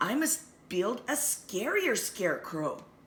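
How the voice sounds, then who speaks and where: A woman's high-pitched, put-on character voice with very wide pitch swings. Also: fairly slow pace. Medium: read story.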